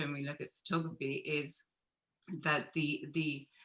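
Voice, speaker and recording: A woman with a Belfast accent, very deep, low pitch and a bright, sharp tone at a moderate pace. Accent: Belfast Northern Irish. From Northern Ireland, Belfast. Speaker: photographer. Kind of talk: panel discussion.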